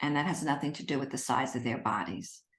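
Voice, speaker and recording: A woman's voice with audible room echo. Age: 60s. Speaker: eating psychology specialist. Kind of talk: interview.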